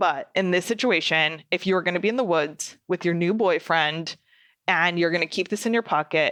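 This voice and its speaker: Against a quiet background, a woman with a fairly low pitch and a bright, sharp tone speaks at a moderate pace, with ordinary pitch variation and very even loudness. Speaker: podcast host. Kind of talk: casual podcast monologue. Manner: animated.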